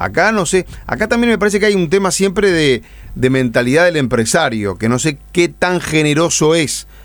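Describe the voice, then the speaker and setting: A man's pitch swings very widely. Music plays in the background. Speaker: radio co-host. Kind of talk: radio interview.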